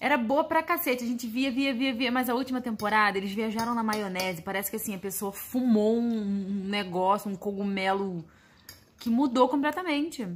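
A woman speaks at a moderate pace in a high pitch. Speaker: family vlogger. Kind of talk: casual vlog chat. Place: kitchen. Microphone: phone near.

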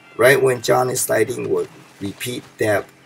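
A man speaks in a calm tone at a fairly slow pace, with noticeable background noise behind him. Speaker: gaming video creator. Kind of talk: tutorial. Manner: instructional, calm.

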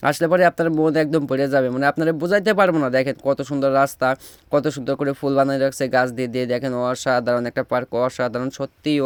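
This man speaks with a Pabna accent at a fairly high pitch. The sound is dry and close, with no echo. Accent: Pabna regional dialect. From Bangladesh, Pabna. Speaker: travel vlogger. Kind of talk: vlog narration. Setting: outdoors. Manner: animated.

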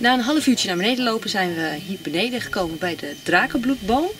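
Against clear music in the background, a woman talks at a very fast pace in a dry sound with no echo. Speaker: holiday vlogger. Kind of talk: casual vlog chat. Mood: cheerful. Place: open country. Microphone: camera far.

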